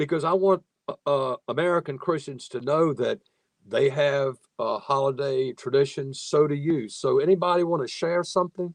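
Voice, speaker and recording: A man with a Southern US accent, fairly high in pitch, with ordinary pitch variation at a moderate pace, the sound dry and close with no echo. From US South, Virginia (Nottoway County). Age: 60s. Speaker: moderator and professor. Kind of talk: webinar panel moderation. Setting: video call webinar.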